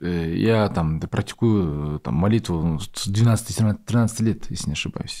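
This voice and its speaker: A man's dark, mellow voice, fairly low in pitch, at a very slow pace with hardly any pauses and ordinary pitch variation. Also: quiet background. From Kazakhstan. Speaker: podcast host. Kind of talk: casual interview. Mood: calm, sincere. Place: studio. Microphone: studio mic.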